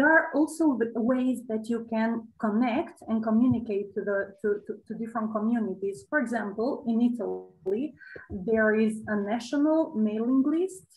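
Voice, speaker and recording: A woman speaks at a moderate pace in a fairly high voice. Her delivery is somewhat breathy. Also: ordinary pitch variation. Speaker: OpenStreetMap expert speaker; host or moderator of online talk. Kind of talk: Q&A answer. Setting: video call. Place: home room. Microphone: webcam.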